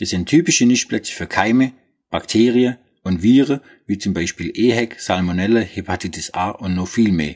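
Swabian accent, moderate pace, ordinary pitch variation. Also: man, fairly low pitch for a man. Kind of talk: product explainer in dialect. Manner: humorous, casual.

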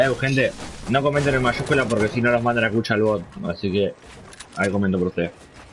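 Amid noticeable background noise, a man talks very fast in an animated tone at a medium pitch, with ordinary pitch variation and long, frequent pauses. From Argentina. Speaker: gaming streamer. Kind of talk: live gameplay stream chat.

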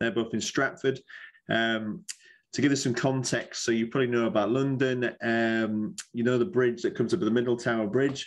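A man speaks in a Yorkshire accent at a moderate pace. His pitch varies in an ordinary way and his loudness stays very even. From northern England (Yorkshire); northern England. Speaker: university recruiter. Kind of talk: presentation at a virtual college fair. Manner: casual, jokey. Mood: relaxed, friendly. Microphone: webcam.

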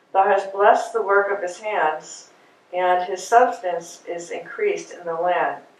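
Speaking at a fairly slow pace with fairly even intonation, a woman's voice rises and falls sharply in loudness amid audible room echo. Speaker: class participant; Bible class teacher. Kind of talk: group discussion and scripture reading. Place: meeting room.

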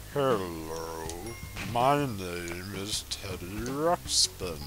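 A man puts on a character voice with a very deep, low pitch, speaking at a very slow pace over loud background music. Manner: eerie, slowed.

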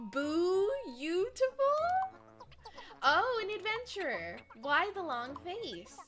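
A woman puts on a sing-song character voice with very wide pitch swings. Clear music plays in the background. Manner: cheery, sing-song.

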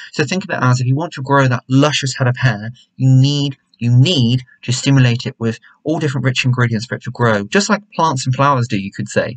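In a quiet background, a man with an English accent talks at a very fast pace, somewhat breathy, with ordinary pitch variation. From England. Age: 20s. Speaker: YouTuber, hair care reviewer. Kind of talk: product review vlog. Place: home room. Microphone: webcam.

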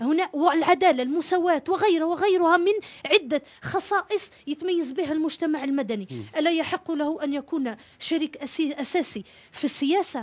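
Someone talks at a moderate pace with ordinary pitch variation. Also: woman, extremely high pitch for a woman. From Algeria. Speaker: civil society association leader; talk show guest. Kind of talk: TV panel interview. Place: studio. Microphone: studio mic.

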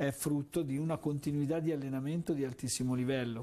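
A man's dark, mellow voice at a fairly quick pace, its intonation fairly even. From central Italy, Orvieto (Umbria); central Italy. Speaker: volleyball coach. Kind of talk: interview. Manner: repetitive, hesitant phrasing. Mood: calm, reflective. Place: studio. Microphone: lapel.

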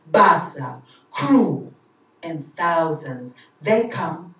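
With audible room echo, a woman speaks at a very slow pace in a very deep, low pitch, her intonation lively. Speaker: poet. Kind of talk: poetry reading. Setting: live event. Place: stage.

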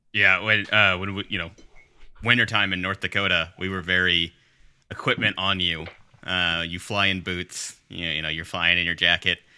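A man's low-pitched voice with a bright, sharp, clear and smooth tone and little pitch movement. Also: moderate pace.

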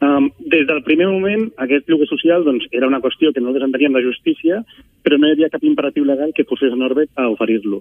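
Very fast in pace, a man speaks at a fairly high pitch with ordinary pitch variation. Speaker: housing activist spokesperson. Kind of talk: radio interview. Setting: phone call.

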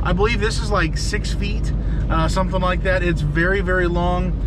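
Loud background noise runs behind a man's voice. He speaks at a moderate pace, and the sound is dry with no echo. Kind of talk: casual vlog chat. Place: car. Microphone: phone near.

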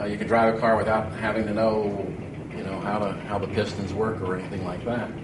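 The voice is flat and monotone, with noticeable background noise. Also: man. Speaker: guest instructor. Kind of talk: lecture. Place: classroom.

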